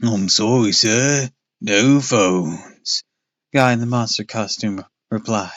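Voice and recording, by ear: Against a quiet background, the text is read aloud in a natural voice, the pitch varying in an ordinary way.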